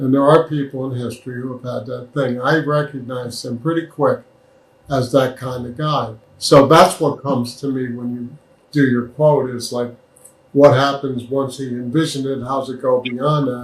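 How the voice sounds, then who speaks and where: Somewhat breathy, a man speaks at medium pitch and a moderate pace. His intonation is monotone and flat, with big swings in loudness. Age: 70s. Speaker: former healthcare executive. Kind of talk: interview.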